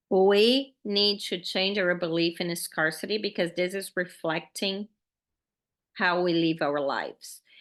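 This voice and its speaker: A woman with a Brazilian Portuguese accent speaks at a fairly slow pace. Her pitch varies in an ordinary way over a quiet background. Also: medium pitch for a woman. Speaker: podcast host, faith-based money coach. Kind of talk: podcast monologue, motivational teaching. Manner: animated, casual.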